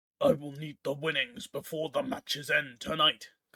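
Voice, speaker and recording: A raspy, fairly high-pitched put-on character voice from a man, with lively intonation and a dry, close sound with no echo. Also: moderate pace. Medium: read story. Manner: serious, terse.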